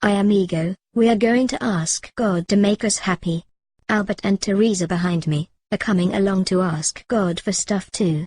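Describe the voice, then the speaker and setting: Someone talks in a put-on character voice at a moderate pace. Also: female-sounding voice, medium pitch for a woman. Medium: comedy sketch. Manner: blunt, crude.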